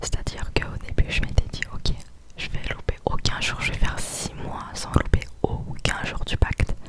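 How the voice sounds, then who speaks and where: Noticeable background noise surrounds a woman's whisper, which comes at a moderate pace. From southern France. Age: young. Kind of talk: ASMR whispered chat to camera. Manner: whispered.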